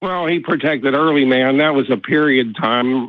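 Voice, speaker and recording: Using an ordinary speaking voice, a man with an American accent talks at a moderate pace and a fairly high pitch. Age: 60s. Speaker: caller. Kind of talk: call-in discussion. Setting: phone call. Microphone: dropped phone line.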